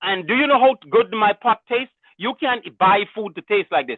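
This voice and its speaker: The voice is loud and moves at a moderate pace. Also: man. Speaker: caller. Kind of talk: casual call-in comment.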